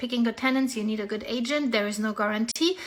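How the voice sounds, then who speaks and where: Over noticeable background noise, a speaker with a German accent talks at a fairly quick pace. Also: woman. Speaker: real estate agent. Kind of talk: casual vlog update. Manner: animated.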